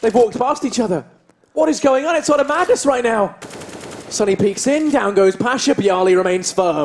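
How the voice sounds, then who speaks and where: A man talks at an extremely high pitch with very wide pitch swings and an animated tone. His loudness stays very even. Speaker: esports caster. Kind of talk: live commentary. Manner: fast.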